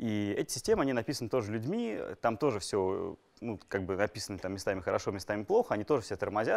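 A man's fairly low voice at a very fast pace. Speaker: lecturer. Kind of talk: lecture. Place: classroom.

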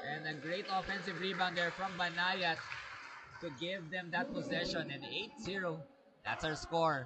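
Noticeable background noise sits behind a man with a high pitch and ordinary pitch variation. He speaks at a fairly slow pace with long, frequent pauses. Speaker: basketball commentator. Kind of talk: live sports commentary. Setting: courtside at a sports venue, live. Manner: excited, animated, with laughs.

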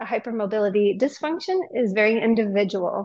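A woman talks at a moderate pace over a quiet background. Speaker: workshop instructor. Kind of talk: lecture. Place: gym.

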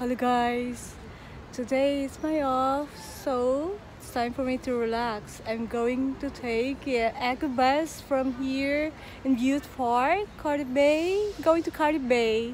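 A woman speaks at a very slow pace in a high pitch. The sound is dry with no echo, over light background noise. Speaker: vlogger. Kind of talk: casual vlog chat. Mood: cheerful, relaxed. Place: waterside. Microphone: phone near.

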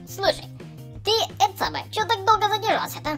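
Putting on a character voice at an extremely high pitch, a man speaks at a fairly quick pace with lively intonation in a bright, sharp tone while faint music plays in the background.

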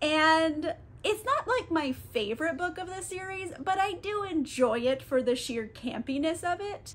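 Speaking at a fairly slow pace, a woman uses an extremely high pitch with very wide pitch swings. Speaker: book vlogger. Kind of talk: casual vlog chat. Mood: cheerful, playful. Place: home room.

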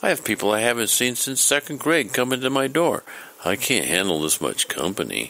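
A man uses a put-on character voice at a medium pitch, talking at a fairly quick pace with a bright, sharp tone, big pitch swings and some vocal fry.

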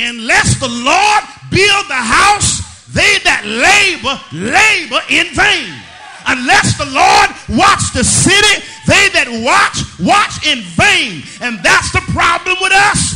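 Shouting at a very slow pace, the voice carries lively intonation. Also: man, extremely high pitch for a man. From Southern United States. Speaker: pastor. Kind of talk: sermon. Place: church. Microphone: podium.

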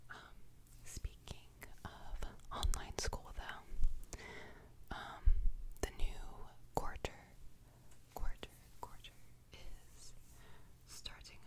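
A woman talks at a very slow pace with long, frequent pauses over loud background noise. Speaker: ASMR creator. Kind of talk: soft ASMR chat, repeated words. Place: home room.

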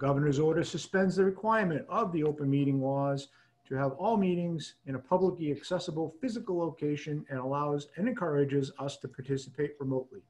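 A man at a very fast pace with hardly any pauses. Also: ordinary pitch variation. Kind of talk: formal meeting procedure reading. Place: home room. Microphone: video call.

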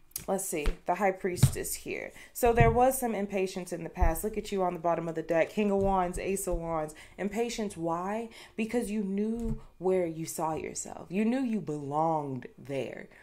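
Lively intonation and a dark, mellow tone from a woman at a moderate pace. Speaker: tarot reader. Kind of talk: casual tarot reading chat. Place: home room. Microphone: studio mic.

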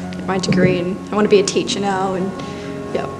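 Music plays clearly behind the speech. A woman talks at a very fast pace. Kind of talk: interview answer. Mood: reflective, grateful. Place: studio.

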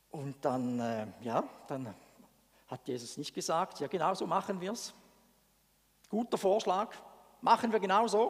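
Against a quiet background, a man talks at a fairly slow pace in an animated tone, high in pitch with very wide pitch swings and long, frequent pauses. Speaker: preacher. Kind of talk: sermon. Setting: church. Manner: conversational. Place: church. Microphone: headset.

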